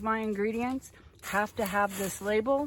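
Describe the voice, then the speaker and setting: In a very clean recording with a silent background, a woman talks at a moderate pace and medium pitch with lively intonation, a normal speaking voice. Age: 60s. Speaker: small farmer. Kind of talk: casual tutorial. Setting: greenhouse tunnel. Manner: casual, chatty.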